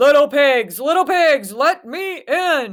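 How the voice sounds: A put-on character voice, high-pitched and growling, moves along at a fairly slow pace.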